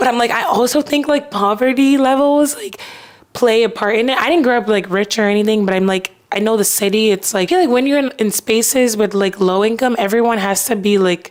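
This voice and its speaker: A woman's fairly high, animated voice with an American accent, fairly quick and with ordinary pitch variation, set against noticeable background noise. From Texas, Houston. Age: 20s. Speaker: podcast host. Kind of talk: casual chat.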